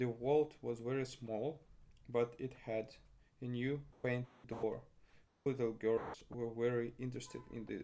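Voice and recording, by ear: This is someone reading aloud in a natural voice. The intonation stays fairly even.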